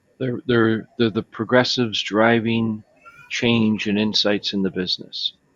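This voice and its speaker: In an American accent, a man speaks fairly slowly at a medium pitch, his intonation flat and monotone. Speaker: software company executive. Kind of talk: panel discussion.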